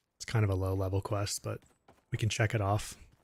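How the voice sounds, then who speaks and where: A man with a fairly low pitch speaks at a moderate pace in a relaxed, somewhat breathy tone, his intonation fairly even and the sound dry and close with no echo. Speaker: gaming streamer. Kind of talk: live stream commentary. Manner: casual, relaxed.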